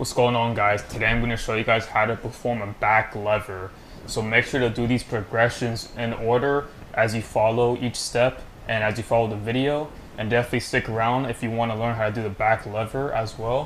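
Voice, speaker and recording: The delivery is monotone, with flat intonation and a fairly quick pace. Light background noise sits underneath. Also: man. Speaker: calisthenics instructor. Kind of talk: tutorial. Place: home room. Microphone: camera far.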